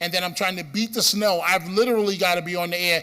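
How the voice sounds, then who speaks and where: A man speaks with a Bronx accent at a high pitch. His tone is bright and sharp. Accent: Bronx New York. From New York City, the Bronx. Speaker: radio host. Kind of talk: conference speech. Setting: stage with audience.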